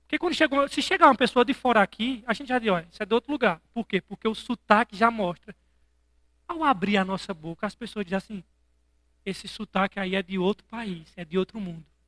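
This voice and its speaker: The speaker has a strong northeastern Brazilian accent. The pace is fairly quick. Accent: thick northeastern Brazilian. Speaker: pastor. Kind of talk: sermon. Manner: animated.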